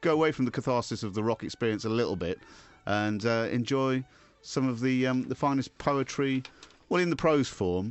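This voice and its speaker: Music plays in the background as a man with an English accent speaks at a medium pitch. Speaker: radio show host. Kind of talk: comedic radio banter; reading aloud. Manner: loud.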